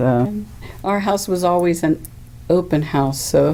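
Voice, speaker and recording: Noticeable background noise around a woman's fairly slow delivery. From Weirton, West Virginia. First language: Greek. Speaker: librarian and community radio host interviewed about food heritage. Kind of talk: oral history interview. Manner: conversational, with fillers.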